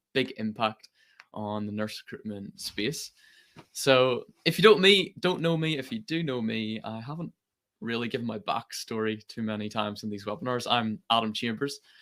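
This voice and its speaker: Lively intonation at a moderate pace. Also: man. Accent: Northern Irish. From Northern Ireland. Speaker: company president. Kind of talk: webinar presentation.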